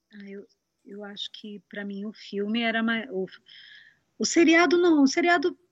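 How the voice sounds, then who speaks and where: Somewhat breathy woman's voice, fairly high in pitch, with very wide pitch swings, a moderate pace, and long, frequent pauses. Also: big swings in loudness. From interior of São Paulo state, Brazil. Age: 40s. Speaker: singer and voice actress. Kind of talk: casual interview chat.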